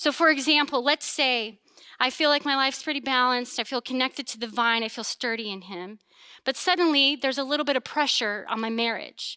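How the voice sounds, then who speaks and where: A woman with a high pitch and a bright, sharp tone speaks in a raised, projected voice, animated and fairly quick, in a dry, close sound with no echo and a very clean recording with a silent background. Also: ordinary pitch variation. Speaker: pastor. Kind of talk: sermon. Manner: loud.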